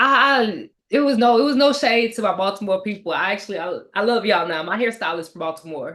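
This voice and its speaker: Very fast with hardly any pauses, a woman with an American accent talks in an animated tone, using lively intonation and a fairly high pitch. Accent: Southern accent noticed by others. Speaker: book discussion co-host. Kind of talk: casual chat.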